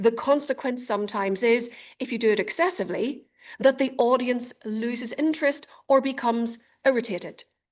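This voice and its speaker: In a quiet background, a woman with a high voice speaks at a fairly quick pace with ordinary pitch variation. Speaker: speech and communication coach. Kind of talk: webinar presentation. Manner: clear articulation.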